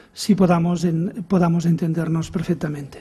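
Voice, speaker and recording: Speaking at a moderate pace with a Catalan accent, a man has a high pitch, a dark, mellow tone and monotone, flat intonation. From Catalonia. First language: Catalan (speaking Spanish). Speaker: education professor. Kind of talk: conference lecture. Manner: halting with repetitions.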